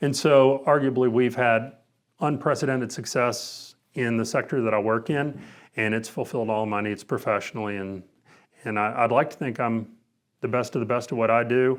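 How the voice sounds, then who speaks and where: In a very clean recording with a silent background, a man with an unremarkable speaking voice talks at medium pitch and a moderate pace with fairly even intonation. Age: 50s. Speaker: former college basketball player, sales manager. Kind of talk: interview.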